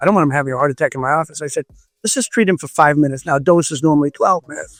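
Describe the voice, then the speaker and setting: Over music in the background, a man speaks at a very fast pace in an animated tone. His pitch is fairly high with ordinary variation, and the sound is dry and close with no echo. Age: 70s. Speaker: chiropractor and red light bed maker. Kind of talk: interview.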